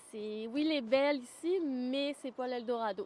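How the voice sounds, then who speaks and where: Very slowly, a woman delivers her words in a high-pitched voice. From Réunion. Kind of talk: interview. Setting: on camera, in person.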